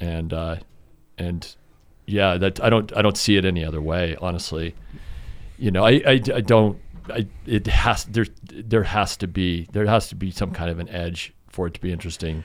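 With an American accent, a man talks at a moderate pace in a very deep, low pitch and fairly even intonation. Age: 50s. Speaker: climber and photographer. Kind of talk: casual chat. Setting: studio.

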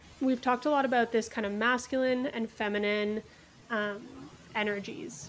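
In a Canadian accent, an unremarkable speaking voice talks at a moderate pace with ordinary pitch variation. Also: woman, fairly high pitch for a woman. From Kingston, Ontario. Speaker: podcast host. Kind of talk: interview.

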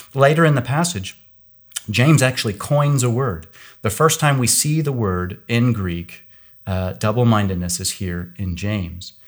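With an American accent and an unremarkable speaking voice, a man speaks at a medium pitch and moderate pace with lively intonation on a very clean recording with a silent background. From US Midwest, Kansas. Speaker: Bible scholar, professor. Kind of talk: theological discussion.

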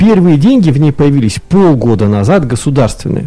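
The man's fairly high voice swings very widely in pitch while he keeps a moderate pace. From Irkutsk region, Russia. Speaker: business club co-chair. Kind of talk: radio panel discussion. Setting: radio studio.

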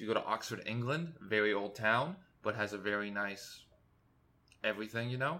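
A man speaks in a medium pitch. His tone is bright and sharp. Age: 20s. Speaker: solo podcaster. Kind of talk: casual monologue. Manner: rambling, halting.

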